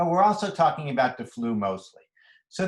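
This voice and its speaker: A somewhat breathy man with an American accent, fairly high in pitch, with very wide pitch swings. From Philadelphia, US. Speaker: physician. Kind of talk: lecture. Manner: fast.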